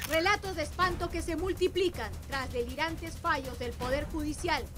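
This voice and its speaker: A woman speaks at a moderate pace with an extremely high pitch. Her pitch varies in an ordinary way. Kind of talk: TV news show promo announcer read.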